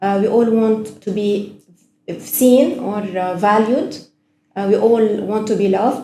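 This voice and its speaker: A woman with a Lebanese accent speaks fairly slowly, somewhat breathy, at a fairly high pitch with a dark, mellow tone. Audible room echo surrounds her voice. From Lebanon. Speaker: actress. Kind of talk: casual chat.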